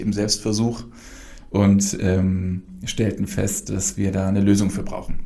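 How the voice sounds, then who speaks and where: This man has a plain, everyday voice at a fairly low pitch. He speaks at a fairly slow pace. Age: 40s. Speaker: brewery founder and managing director. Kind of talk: casual interview. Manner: many filler sounds.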